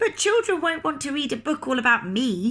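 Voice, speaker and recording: A put-on character voice from a woman, at a moderate pace, pitched high and swinging very widely in pitch. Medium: read story.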